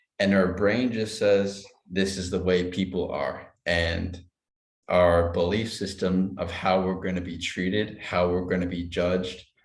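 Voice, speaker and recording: There's audible room echo around a man with a very deep, low voice. He talks at a fairly slow pace in a monotone, flat way. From Canada, Vancouver. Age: 40s. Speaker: stuttering coach. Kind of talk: casual chat. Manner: stuttering.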